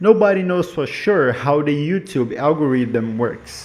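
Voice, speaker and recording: A man with a non-native accent, fairly high pitched, with very wide pitch swings. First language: not English. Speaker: YouTube commentator. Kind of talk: casual explainer monologue.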